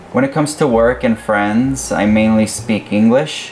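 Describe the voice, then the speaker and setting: With noticeable background noise, a man talks with lively intonation and a Spanish accent. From USA, Spanish-speaking immigrant family. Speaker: vlogger, expectant parent. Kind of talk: casual personal storytelling.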